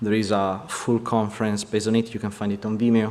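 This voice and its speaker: A man speaks at a fairly quick pace with an Italian accent. His pitch sits fairly low. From Italy. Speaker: vehicle concept artist. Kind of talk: conference presentation. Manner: halting.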